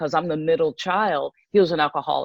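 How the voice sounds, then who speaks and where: A woman's normal speaking voice, fairly low in pitch with ordinary pitch variation, with an American accent, in a dry, close sound with no echo. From Pennsylvania, US. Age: 60s. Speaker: ministry leader sharing her testimony. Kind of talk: testimony.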